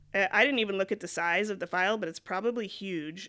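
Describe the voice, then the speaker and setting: A woman speaks at medium pitch with a bright, sharp tone and fairly even intonation. The recording is very clean, with a silent background. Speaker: YouTuber / vlogger. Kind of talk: casual vlog monologue. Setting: recording alone at a laptop.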